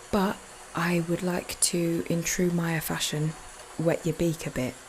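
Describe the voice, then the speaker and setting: Soft-spoken, a woman talks over noticeable background noise. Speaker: podcast host. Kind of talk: casual monologue.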